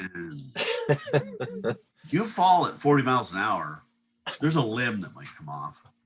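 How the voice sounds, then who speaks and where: The speech moves at a fairly slow pace. Its loudness swings widely. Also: man. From upstate New York. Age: 60s. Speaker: water skier. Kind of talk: casual chat.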